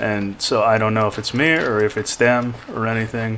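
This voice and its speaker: At a moderate pace and medium pitch, a man speaks in a flat monotone over noticeable background noise. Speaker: gaming video creator. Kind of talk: casual gameplay commentary.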